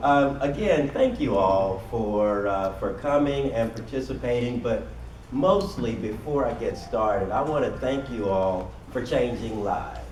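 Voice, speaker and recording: Fairly slow, a man talks with an American accent. Noticeable background noise and audible room echo fill the recording. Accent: Southern US, comes and goes. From Kentucky, US South (Louisville). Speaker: workshop presenter. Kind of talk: seminar presentation. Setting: conference room with audience.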